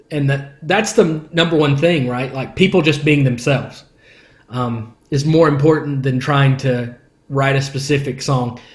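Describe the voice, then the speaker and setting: A somewhat breathy voice moves at a fairly slow pace with ordinary pitch variation, with audible room echo. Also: man. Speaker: worship leader. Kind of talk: podcast interview. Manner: casual, conversational.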